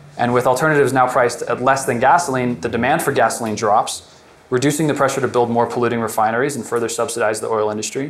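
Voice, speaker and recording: Here a man talks at a very fast pace. His intonation is fairly even. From Colorado, US. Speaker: alternative energy entrepreneur; presenter. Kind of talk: workshop presentation; prepared talk. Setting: workshop room with audience. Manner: halting, many fillers. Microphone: lapel.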